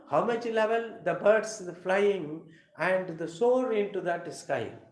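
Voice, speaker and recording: Audible room echo surrounds a man speaking in a Tamil Nadu accent. His voice is high and his pace is very slow. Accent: Tamil Indian English. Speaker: English teacher. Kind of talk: live lecture. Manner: halting.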